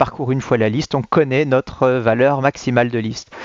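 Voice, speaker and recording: Fairly quick speech from a man, medium in pitch and fairly even in intonation. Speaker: teacher. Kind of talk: lecture. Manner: fast.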